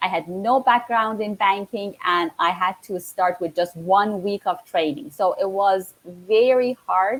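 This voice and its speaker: In an Iranian accent, a woman speaks at a fairly slow pace with hardly any pauses. Her pitch is medium with ordinary variation. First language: Farsi. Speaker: network marketing entrepreneur. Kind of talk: casual live-stream interview. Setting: live stream.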